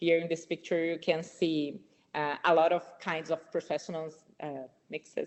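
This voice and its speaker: Her pitch is fairly low for a woman. This woman moves at a moderate pace. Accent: strong non-native. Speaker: nurse researcher. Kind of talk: webinar presentation. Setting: online webinar. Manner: halting, with many repetitions.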